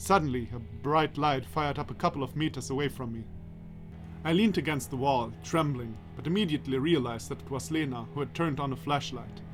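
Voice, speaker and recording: Music plays in the background while a man talks at a very fast pace. His medium-pitched voice makes very wide pitch swings. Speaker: let's play narrator. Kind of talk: reading a visual novel aloud with commentary.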